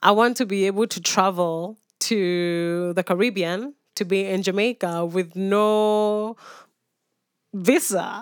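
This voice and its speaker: A woman speaks at medium pitch and a very slow pace, her intonation fairly even. The recording is very clean with a silent background and a dry, close sound with no echo. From Kenya, Nairobi. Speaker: peace activist. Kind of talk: interview. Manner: halting, many fillers.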